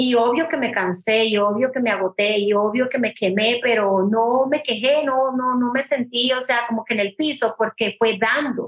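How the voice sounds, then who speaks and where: A woman talks at a high pitch and a moderate pace with ordinary pitch variation, very even loudness and hardly any pauses. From Puerto Rico. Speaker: business coach. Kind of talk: interview.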